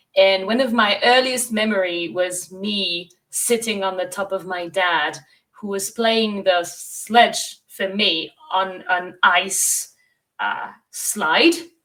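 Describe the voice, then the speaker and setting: A woman with a French accent, at a medium pitch and a very slow pace, with ordinary pitch variation. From France, Bordeaux. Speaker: sustainable tourism consultant and guide. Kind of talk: interview.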